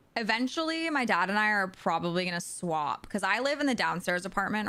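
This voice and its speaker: Loud and animated, a woman speaks at a very fast pace in a bright, sharp tone with lively intonation. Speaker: video game streamer. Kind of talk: casual chat. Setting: live stream from home.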